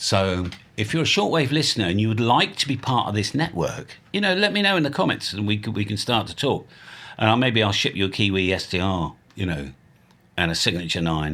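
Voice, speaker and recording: Recorded very cleanly against a silent background, a man with an English accent speaks at a fairly quick pace in a bright, sharp tone and a fairly low pitch. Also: lively intonation. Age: 60s. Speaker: ham radio youtuber. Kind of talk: casual vlog monologue. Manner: rambling, free-flowing; animated.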